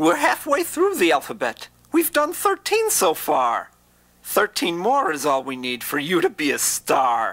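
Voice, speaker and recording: A man speaks in a cartoonish character voice, pitched high. He talks at a fairly slow pace. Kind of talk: children's educational rhyme. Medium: puppet show. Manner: sing-song rhyming, comic and professorial. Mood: encouraging.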